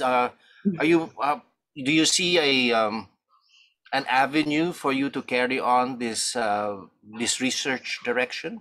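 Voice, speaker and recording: Very slow, lively intonation in a bright, sharp tone, over a quiet background. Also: man. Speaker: audience member, academic; audience member. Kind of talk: Q&A question. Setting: video call. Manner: halting. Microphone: video call.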